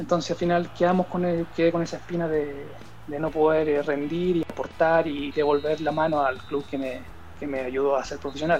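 A man speaks at a moderate pace with flat, monotone intonation. Music plays in the background. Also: fairly high pitch for a man. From Chile. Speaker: professional footballer. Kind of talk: interview.

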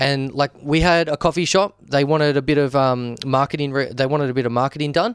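A man with an Australian accent talks at a fairly quick pace and a fairly high pitch with hardly any pauses, his loudness very even and the sound dry and close with no echo. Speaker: wedding and business videographer. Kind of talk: casual chat. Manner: animated.

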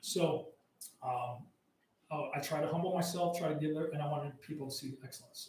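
Audible room echo surrounds a man whose somewhat breathy voice sits fairly high, moving at a moderate pace with fairly even intonation. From US Southwest, Arizona border. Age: 50s. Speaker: combatives instructor. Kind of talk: casual interview.

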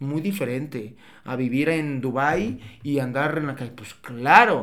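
Fairly high for a man, this unremarkable speaking voice shifts in pitch in an ordinary way. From Mexico, Tepatitlán, Jalisco. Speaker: business consultant. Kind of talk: casual chat. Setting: studio.

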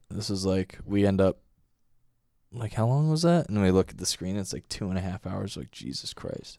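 A voice with a dark, mellow tone moves at a moderate pace with ordinary pitch variation, dry and close with no echo on a very clean recording with a silent background. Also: man, long, frequent pauses. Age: 20s. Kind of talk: casual chat.

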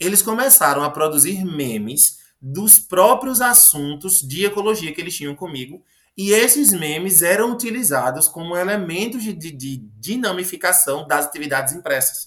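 A man's high voice carries lively intonation, his pace moderate. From Paraíba, Brazilian Northeast (Agreste). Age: 20s. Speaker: biology teacher. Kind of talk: interview. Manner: animated storytelling.

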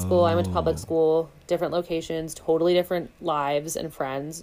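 A woman's very deep, low pitch and dark, mellow tone at a very fast pace, with ordinary pitch variation. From New York City, Manhattan. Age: 20s. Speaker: podcast guest. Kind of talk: casual chat.

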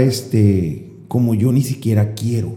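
A man with a medium pitch and a dark, mellow, somewhat breathy tone speaks at a fairly slow pace with fairly even intonation. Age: 20s. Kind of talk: casual chat.

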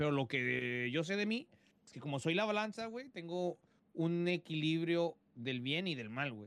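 A man with a Mexican accent talks at a moderate pace, his fairly high pitch moving in very wide swings. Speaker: podcast co-host. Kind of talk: casual chat.

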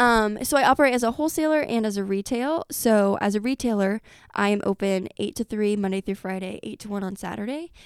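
A woman's plain, everyday voice at a fairly quick pace, with ordinary pitch variation, dry, close sound with no echo, and a very clean recording over a silent background. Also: fairly high pitch for a woman. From US Midwest, Effingham. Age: 20s. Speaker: small business founder. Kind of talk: casual interview. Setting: studio.

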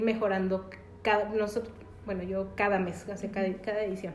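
A woman's medium-pitched voice with monotone, flat intonation, audible room echo and noticeable background noise. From Mexico, Guanajuato (Valle de Santiago). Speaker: magazine director and entrepreneur. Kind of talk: interview.

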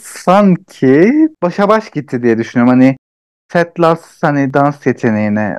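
A man talks at a fairly slow pace with lively intonation, in a dry, close sound with no echo. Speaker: podcast co-host. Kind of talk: casual chat.

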